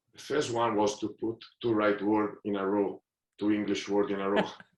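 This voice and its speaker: With an Italian accent, a man speaks at a fairly slow pace. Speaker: football manager. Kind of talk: podcast interview. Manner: halting.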